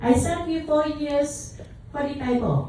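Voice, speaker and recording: A woman's voice comes with audible room echo. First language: Taiwanese / Mandarin Chinese. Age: 60s. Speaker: calligraphy teacher and speaker. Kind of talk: short speech to an audience. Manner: halting, hesitant broken English.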